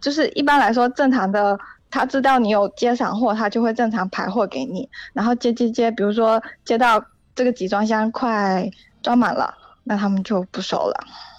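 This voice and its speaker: Fairly high-pitched, a woman uses a plain, everyday voice with ordinary pitch variation at a moderate pace. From Xiamen, Fujian. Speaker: caller who works with shipping freight forwarding. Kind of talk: casual chat. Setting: phone call.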